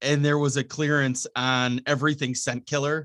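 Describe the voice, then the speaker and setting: A man with a Wisconsin accent, medium pitch, fairly even intonation and a moderate pace. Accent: Upper Midwest (Wisconsin). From Wisconsin, Milwaukee. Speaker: radio host and bow hunter. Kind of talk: casual chat.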